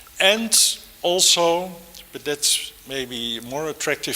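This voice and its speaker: Against noticeable background noise, a man speaks at a very slow pace and a fairly high pitch with ordinary pitch variation. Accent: Dutch. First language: Dutch. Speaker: architect and professor. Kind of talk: lecture. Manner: hesitant, many fillers.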